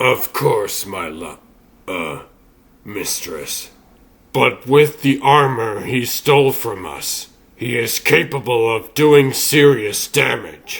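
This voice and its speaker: A man puts on a raspy character voice at a medium pitch. He talks at a very slow pace with lively intonation. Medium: fan dub. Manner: formal, deferential.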